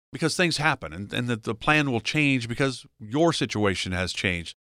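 A man with a bright, sharp tone talks at a fairly quick pace with very wide pitch swings, on a very clean recording with a silent background. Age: 60s. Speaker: radio host. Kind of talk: radio show chat. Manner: friendly, conversational.

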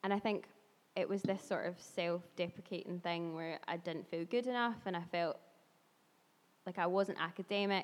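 Speaking at a moderate pace, a woman has a normal speaking voice in a medium pitch. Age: 20s. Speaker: yoga instructor and blogger. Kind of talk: casual chat.

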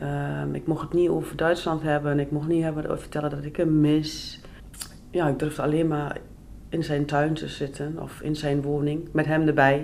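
Over noticeable background noise and audible room echo, a woman speaks with a very deep, low pitch and monotone, flat intonation. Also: moderate pace. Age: 30s. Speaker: person on probation. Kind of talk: life story interview.

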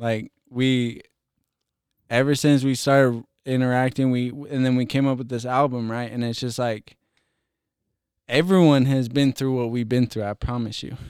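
A man at medium pitch, with a clear, smooth, slightly mellow tone, fairly even intonation, and a very clean recording over a silent background. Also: moderate pace.

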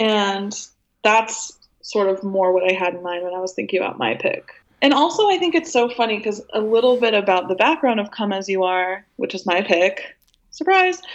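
Using an ordinary speaking voice, a woman with an American accent talks at a moderate pace. Her pitch is medium and her intonation lively. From US Pacific Northwest, Portland suburb. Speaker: music journalist. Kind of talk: casual chat.

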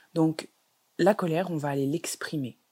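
With a dark, mellow tone, a woman talks at a very deep, low pitch with ordinary pitch variation. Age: 20s. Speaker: holistic wellness coach and podcast host. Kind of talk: solo podcast monologue.

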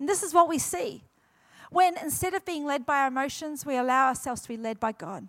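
With a New Zealand accent, a woman speaks at a moderate pace and a high pitch, using ordinary pitch variation. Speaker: guest pastor. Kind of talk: sermon. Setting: church with congregation.

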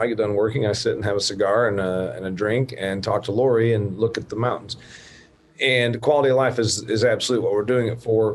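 Noticeable background noise runs under the recording. A man speaks at a fairly quick pace with a fairly low pitch. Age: 50s. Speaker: podcast host. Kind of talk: interview. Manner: animated.

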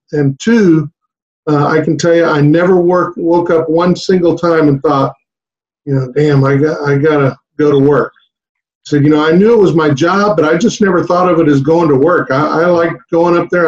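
A man speaks with an American accent at a moderate pace. His pitch is fairly high, and his intonation stays fairly even. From South Texas. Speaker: high school basketball coach. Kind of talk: casual interview chat.

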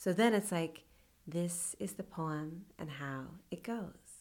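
In a Californian accent, a woman talks at a fairly low pitch. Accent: Californian American. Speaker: poet. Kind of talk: interview.

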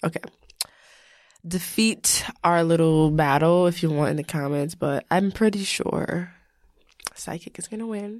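On a very clean recording with a silent background, a woman of fairly low pitch speaks at a fairly slow pace with ordinary pitch variation, long, frequent pauses and big swings in loudness. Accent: New York. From New York, Long Island (Elmont). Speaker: podcast co-host. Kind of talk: casual chat.

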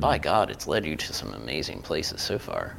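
Music plays in the background as a man speaks. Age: 40s. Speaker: podcast host. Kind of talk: casual chat. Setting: studio.

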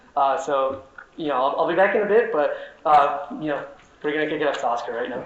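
With noticeable background noise behind him, a man talks at a fairly quick pace in a fairly high pitch with lively intonation. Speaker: socialist activist and organizer. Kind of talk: conference talk. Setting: conference stage with audience.

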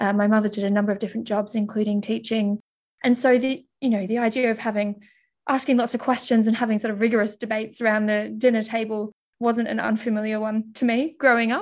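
A woman talks very fast in an Australian accent. Her intonation stays flat and monotone over a quiet background. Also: fairly high pitch for a woman. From Australia (Mildura, then Melbourne). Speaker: accelerator physicist. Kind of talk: interview.

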